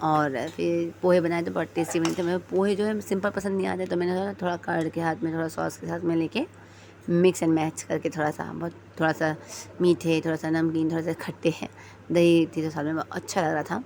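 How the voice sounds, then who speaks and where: Noticeable background noise under a woman's moderate pace and ordinary pitch variation. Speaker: vlogger. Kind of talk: vlog voice-over narration. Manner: casual, hesitant with fillers.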